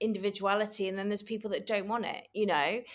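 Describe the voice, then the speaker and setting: A woman's voice at a medium pitch. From Manchester, northern England. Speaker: fashion stylist. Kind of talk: casual interview.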